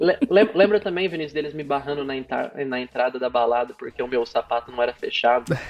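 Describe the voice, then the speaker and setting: Speech at a fairly quick clip, with lively intonation, competes with noticeable background noise. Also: man. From Brazil, interior of Paraná (near Londrina). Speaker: cloud specialist. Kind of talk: casual interview.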